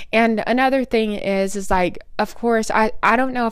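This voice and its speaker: This woman has an American accent and a fairly high pitch. She talks at a moderate pace. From Oklahoma. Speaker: podcast host. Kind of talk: solo casual talk.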